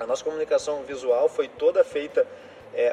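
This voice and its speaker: Noticeable background noise is audible throughout. A man talks over it at a moderate pace. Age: 30s. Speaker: startup co-founder in waste management. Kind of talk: interview.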